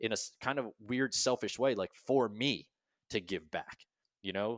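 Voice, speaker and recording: A man with a normal speaking voice talks at a medium pitch with ordinary pitch variation in a very clean recording with a silent background. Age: 30s. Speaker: army veteran and business founder. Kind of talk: interview storytelling.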